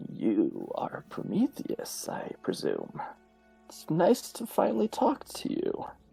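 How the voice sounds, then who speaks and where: A man puts on a character voice at an extremely high pitch, speaking at a fairly slow pace. Faint music plays in the background. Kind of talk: polite, mock-formal. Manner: laughing, amused.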